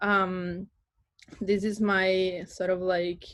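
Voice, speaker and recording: In an Italian accent, the voice moves at a very slow pace with monotone, flat intonation. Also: woman. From Italy, near Florence. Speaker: artist. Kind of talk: artist talk presentation. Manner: hesitant, many fillers.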